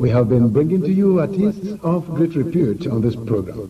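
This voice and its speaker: A man with a fairly high voice talks at a moderate pace, swinging very widely in pitch. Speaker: radio presenter and producer. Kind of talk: radio programme presentation.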